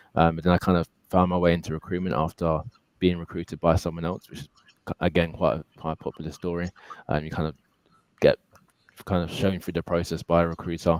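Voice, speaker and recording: A man speaks very fast in a very deep, low voice with monotone, flat intonation. His loudness swings widely, and he leaves long, frequent pauses. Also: dry, close sound with no echo. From London, England. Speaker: recruiter. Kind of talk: interview. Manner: halting, many fillers.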